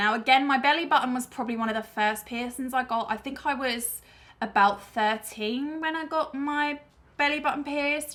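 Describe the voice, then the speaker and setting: In a British accent, a woman speaks with a bright, sharp tone. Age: 20s. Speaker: YouTuber. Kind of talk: casual chat.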